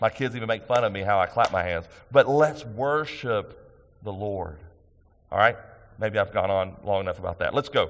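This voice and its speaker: A man's speech moves at a moderate tempo, its intonation lively. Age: 50s. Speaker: senior pastor. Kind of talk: sermon. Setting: church.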